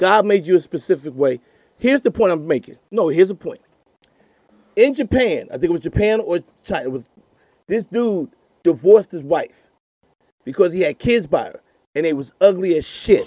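A man's high-pitched voice with long, frequent pauses and big swings in loudness, the sound dry and close with no echo. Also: lively intonation, moderate pace. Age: 50s. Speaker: comedian.

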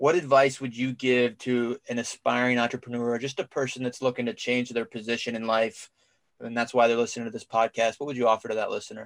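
A man with an American accent talks very fast with monotone, flat intonation. The sound is dry and close, with no echo. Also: medium pitch for a man. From Cincinnati, Ohio. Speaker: podcast co-host, Marine veteran. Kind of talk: interview.

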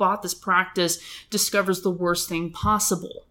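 A woman speaks with an American accent in an ordinary speaking voice. Her pitch is medium, with ordinary variation. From Los Angeles County. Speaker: dentist. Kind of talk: casual interview.

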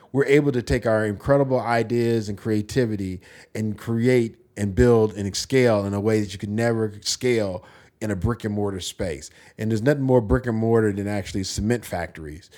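A man with an American accent and an ordinary speaking voice speaks at fairly low pitch with ordinary pitch variation. His fairly quick delivery comes through on a very clean recording with a silent background. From United States. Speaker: entrepreneur. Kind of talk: casual chat.

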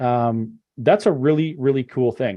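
Here a man at medium pitch with ordinary pitch variation has an unremarkable speaking voice. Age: 40s. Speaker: webinar host. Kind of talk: interview. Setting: video call.

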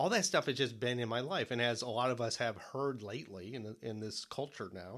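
The man has an unremarkable speaking voice at a medium pitch and a fairly quick pace. The recording is very clean, with a silent background. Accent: American. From Detroit area, Michigan. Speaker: podcast co-host and author. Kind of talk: interview.

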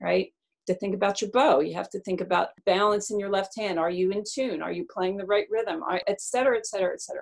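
In an American accent, a woman speaks in an ordinary speaking voice at medium pitch with ordinary pitch variation. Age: 60s. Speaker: concert cellist and music teacher. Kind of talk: casual storytelling interview.

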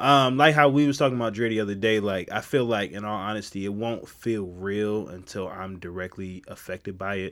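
Fairly quick speech from a man with a fairly low voice and ordinary pitch variation. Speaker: sports podcast co-host. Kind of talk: casual sports banter.

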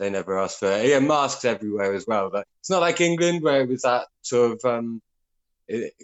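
A man's ordinary speaking voice, medium in pitch, with lively intonation and a fairly quick pace. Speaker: caller. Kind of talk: casual chat. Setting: phone call.

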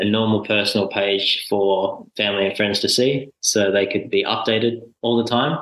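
Fairly low in pitch, a man talks with an Australian accent. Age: 20s. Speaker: full-time traveller. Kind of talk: casual interview.

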